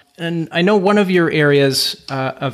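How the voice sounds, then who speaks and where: A man with an ordinary speaking voice, at a moderate pace with ordinary pitch variation. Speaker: podcast host and chiropractor. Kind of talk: interview, scripted intro.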